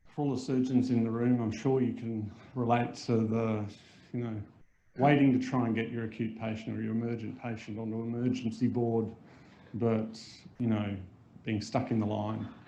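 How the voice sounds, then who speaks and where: Mumbling in an Australian accent, the speaker has a dark, mellow tone, monotone, flat intonation, a moderate pace, long, frequent pauses, and audible room echo. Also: man, medium pitch for a man. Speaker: surgeon. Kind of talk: lecture.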